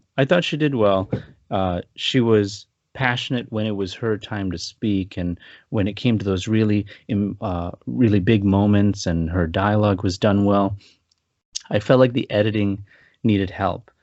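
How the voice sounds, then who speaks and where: With an ordinary speaking voice, a man talks at a moderate pace and a fairly low pitch, with ordinary pitch variation. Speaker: film review podcast co-host. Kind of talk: casual podcast film review chat.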